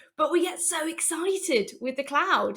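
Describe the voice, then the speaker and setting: In a very clean recording with a silent background, a woman speaks with a British accent and lively intonation. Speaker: software developer, conference speaker. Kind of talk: conference talk.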